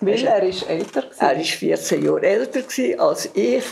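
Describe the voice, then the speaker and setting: A woman talks fairly slowly while noticeable background noise plays behind her. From Canton Zug, Switzerland. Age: 80s+. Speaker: contemporary witness. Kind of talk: oral history interview. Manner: halting.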